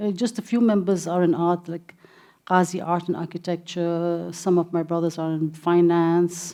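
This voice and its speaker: Over a quiet background, a woman with a slight Indian accent speaks in a dark, mellow tone with monotone, flat intonation. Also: fairly low pitch for a woman, moderate pace. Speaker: gallery director and art patron. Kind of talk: interview. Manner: halting.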